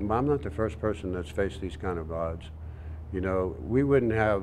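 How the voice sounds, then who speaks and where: Over light background noise, a man with a very deep, low voice talks at a moderate pace. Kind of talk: interview answer. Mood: calm, firm conviction. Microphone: lapel.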